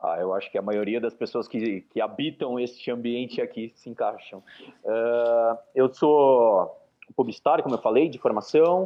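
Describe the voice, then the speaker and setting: A man speaks at medium pitch with ordinary pitch variation. His pace is fairly slow. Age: 30s. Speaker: football education entrepreneur. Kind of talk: interview. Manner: halting, many fillers.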